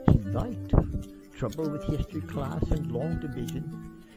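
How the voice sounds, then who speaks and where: The speaker talks at a moderate pace while music plays behind. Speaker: amateur storyteller reading his own short story. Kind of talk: read short story narration. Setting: camera microphone, some plosive pops.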